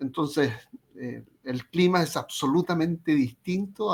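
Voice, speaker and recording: A man with a Chilean accent, his pitch fairly high and his pitch variation ordinary. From Chile, Concepción. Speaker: psychologist. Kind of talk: interview. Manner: halting, repeats words.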